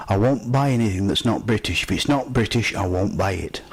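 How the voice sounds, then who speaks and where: A man with a Yorkshire accent talks at a fairly quick pace in a lively intonation. Noticeable background noise runs behind him. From Yorkshire, Barnsley. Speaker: amateur comedian. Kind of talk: stand-up.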